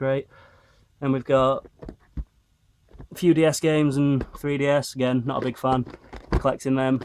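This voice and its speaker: Talking at a moderate pace, a man of medium pitch speaks with a Northern English accent. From Northern England. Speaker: retro game collector. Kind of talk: casual talk to camera. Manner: monotone.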